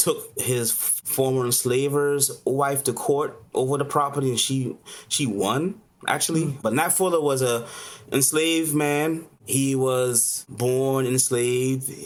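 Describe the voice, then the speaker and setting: Amid noticeable background noise, a man with an American accent speaks at a fairly high pitch with fairly even intonation and very even loudness. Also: fairly slow pace. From Charleston, South Carolina. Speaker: chef and caterer. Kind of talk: interview answer.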